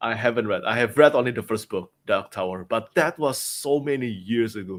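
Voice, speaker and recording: Speech in a non-native accent comes at a fairly quick pace. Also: man, medium pitch for a man, ordinary pitch variation. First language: not English. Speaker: book reviewer. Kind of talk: casual chat.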